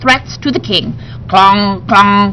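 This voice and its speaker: The speaker uses a put-on character voice at a moderate pace. Clear background noise is present. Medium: read story. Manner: playful, excitable.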